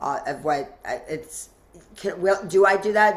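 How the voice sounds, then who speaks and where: A woman talks with fairly even intonation. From US South, Asheville, North Carolina. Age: 60s. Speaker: mastermind leader and event organizer. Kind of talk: podcast interview. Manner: halting, many restarts.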